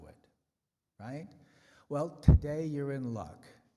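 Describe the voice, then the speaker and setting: A man speaks in a dark, mellow tone with ordinary pitch variation. Audible room echo surrounds his voice. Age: 80s+. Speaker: preacher. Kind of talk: sermon. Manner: conversational, humorous asides.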